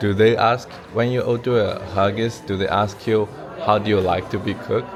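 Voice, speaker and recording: Music plays in the background as a man speaks. His pitch is fairly low and his pace moderate. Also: ordinary pitch variation. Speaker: street interviewer.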